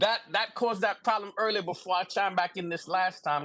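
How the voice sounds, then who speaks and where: With a raised, projected voice, a man speaks at a high pitch and a fairly quick pace, using ordinary pitch variation. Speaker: livestream guest. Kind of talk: casual chat. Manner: fast.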